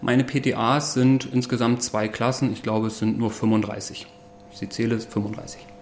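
Over noticeable background noise, a man of medium pitch speaks at a fairly slow pace with fairly even intonation. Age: 40s. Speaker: pharmacist and school principal. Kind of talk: interview. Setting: staff break room at the school.

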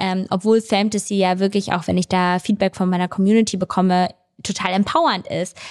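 On a very clean recording with a silent background and a dry, close sound with no echo, a woman speaks at medium pitch and a fairly quick pace in a monotone, flat intonation. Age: 20s. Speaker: content creator and business angel. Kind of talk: casual interview. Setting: at her home.

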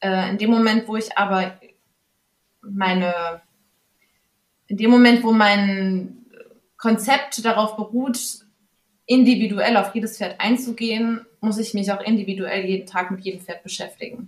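Speaking at a fairly slow pace, a woman with a somewhat breathy, fairly high voice keeps fairly even intonation and pauses long and often. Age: 30s. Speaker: horse stable owner. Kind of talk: interview.

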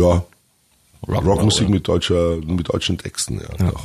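Very deep and low, a man's voice comes through somewhat breathy. He keeps a moderate pace and fairly even intonation. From Franconia, Germany. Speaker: metal band singer. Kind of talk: casual interview. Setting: studio.

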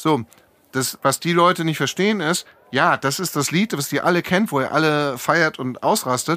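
A fairly high male voice, bright and sharp in tone. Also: ordinary pitch variation, moderate pace. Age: 50s. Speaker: DJ and agency founder. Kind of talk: casual chat. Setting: studio.

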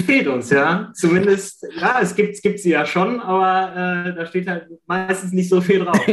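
Over noticeable background noise, a man with a high pitch speaks fairly slowly with ordinary pitch variation. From Germany, Ratingen (Rhineland). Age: 40s. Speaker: sticker collector. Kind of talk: casual interview.

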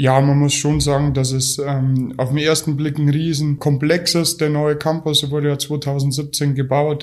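Here a man talks at a moderate pace with a fairly high pitch. His delivery is monotone, with flat intonation. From Bulgaria, moved to Germany at nine. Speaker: youth football coach and IT administrator. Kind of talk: interview. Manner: hesitant, many fillers.

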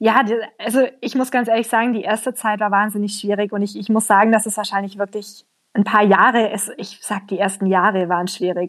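Delivery is monotone and flat. The pace is fairly quick. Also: woman, medium pitch for a woman. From Allgäu, southern Germany. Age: 20s. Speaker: emigrant, trainee primary school teacher. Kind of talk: interview.

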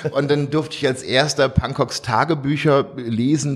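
A man's voice at a fairly slow pace, with noticeable background noise. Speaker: visual artist. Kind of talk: interview.

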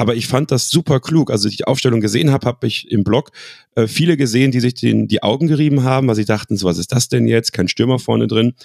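This man talks at a very fast pace, medium in pitch with ordinary pitch variation and vocal fry. The sound is dry and close, with no echo. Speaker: football fan and club pundit. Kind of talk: casual chat.

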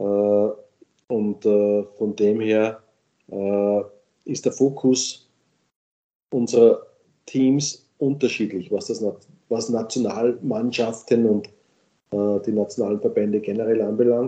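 Speaking very slowly with long, frequent pauses, a man uses a medium pitch and a dark, mellow tone in a monotone, flat delivery. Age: 50s. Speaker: sports league executive. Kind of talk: interview. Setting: remote call from home office.

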